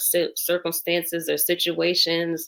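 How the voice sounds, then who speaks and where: Recorded very cleanly against a silent background, a woman with an American accent speaks at a fairly slow pace. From New Haven, Connecticut. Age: 40s. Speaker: community leader and business owner. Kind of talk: interview.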